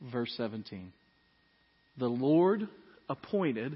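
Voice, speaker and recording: A man speaks at a medium pitch. His tone is relaxed. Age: 40s. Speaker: pastor. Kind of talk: Sunday sermon to a congregation, conversational expository preaching with humorous asides. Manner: conversational and relaxed, with fillers and self-corrections.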